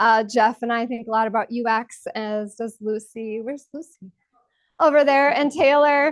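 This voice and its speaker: The woman's voice sits fairly high, and her pitch moves in an ordinary way. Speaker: UX researcher and conference speaker. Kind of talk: conference talk. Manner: fast; casual, frequent fillers.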